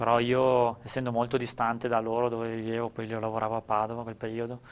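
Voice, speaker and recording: The man here speaks at a fairly quick pace. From Friuli, Italy (Gemona); Friuli, Italy. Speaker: ultra trail runner. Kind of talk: interview. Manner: halting, with repeated words. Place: studio. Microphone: lapel.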